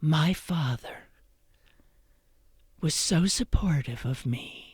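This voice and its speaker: Whispering quietly in a put-on character voice, a man speaks at a very slow pace. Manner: sweet, restrained even when angry.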